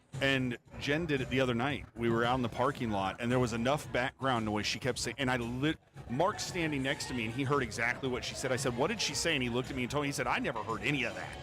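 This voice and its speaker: Over noticeable background noise, a man rushes along at a very fast tempo, his intonation fairly even. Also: medium pitch for a man. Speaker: pool match live stream commentator. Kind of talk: live commentary. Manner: loud.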